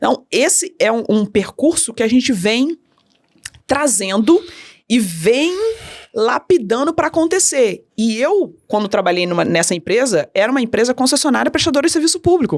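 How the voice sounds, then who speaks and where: A woman speaks at a high pitch with very wide swings, her loudness very even throughout. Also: moderate pace. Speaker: customer experience consultant. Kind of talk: podcast interview.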